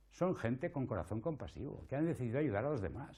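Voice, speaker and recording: The voice has a dark, mellow tone with vocal fry running through it. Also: man. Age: 60s. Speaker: palliative care doctor and lecturer. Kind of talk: conference talk.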